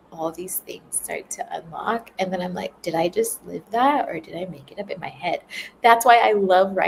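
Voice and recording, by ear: A text is being read aloud, and the voice sounds natural.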